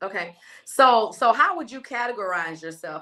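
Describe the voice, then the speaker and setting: Speaking at a moderate pace with ordinary pitch variation, a woman with an American accent has a bright, sharp tone. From Texas. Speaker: podcast host. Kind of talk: interview.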